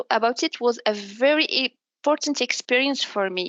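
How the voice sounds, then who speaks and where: At a moderate pace, a woman speaks with a high pitch in a dry, close sound with no echo. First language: Arabic. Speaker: business development manager. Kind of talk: interview. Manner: halting, with self-repairs.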